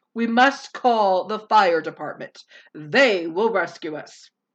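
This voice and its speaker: Using a put-on character voice, a woman talks at a fairly slow pace with big swings in loudness. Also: medium pitch for a woman. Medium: read story.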